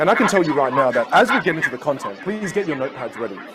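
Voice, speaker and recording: Crowd noise sounds in the background as a man with a fairly high pitch speaks with very wide pitch swings. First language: Teochew. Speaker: communication coach. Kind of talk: online masterclass. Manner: animated.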